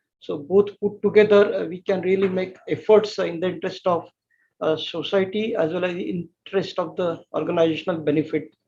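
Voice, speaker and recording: Here a man has a dark, mellow tone and a high pitch. He talks at a fairly quick pace with fairly even intonation. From India. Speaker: energy sector expert. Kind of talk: webinar panel discussion.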